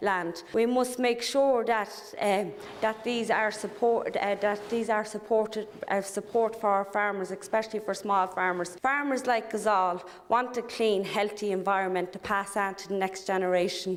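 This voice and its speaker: A woman with an Irish accent and fairly even intonation. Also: medium pitch for a woman, moderate pace. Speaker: politician. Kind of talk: parliamentary speech. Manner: hesitant, many fillers.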